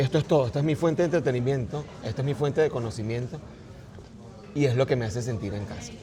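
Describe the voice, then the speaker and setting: Ordinary pitch variation runs through a man's very fast speech at a medium pitch. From Venezuela, partly raised in China. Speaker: artist and writer. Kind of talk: casual interview conversation.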